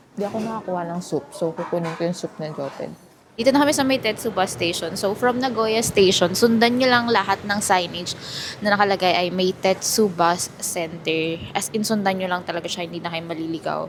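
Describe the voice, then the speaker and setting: A woman's medium-pitched voice at a fairly quick pace, ordinary pitch variation, and noticeable background noise. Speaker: travel vlogger. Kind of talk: travel vlog. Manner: soft-spoken.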